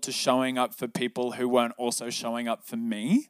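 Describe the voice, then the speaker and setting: A man with an Australian accent at medium pitch and moderate pace, in dry, close sound with no echo. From Sydney, Australia. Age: 20s. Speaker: breathwork and meditation teacher. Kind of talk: casual interview.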